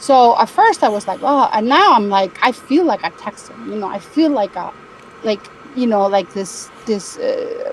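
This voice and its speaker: Over noticeable background noise, a woman speaks at a moderate pace with a fairly high pitch and lively intonation. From Spain. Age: 60s. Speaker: caller. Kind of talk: casual chat. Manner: halting.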